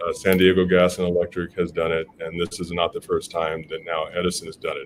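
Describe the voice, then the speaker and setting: At a moderate pace, a man with an American accent talks in a very deep, low pitch. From Pasadena, California. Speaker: former mayor and advocacy group head. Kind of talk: interview.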